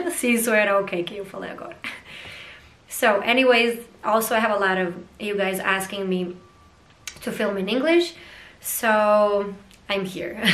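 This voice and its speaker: Long, frequent pauses and big swings in loudness, with audible room echo and noticeable background noise. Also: woman, medium pitch for a woman, ordinary pitch variation, moderate pace. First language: not English. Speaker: vlogger. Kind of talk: casual vlog monologue. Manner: hesitant, many fillers.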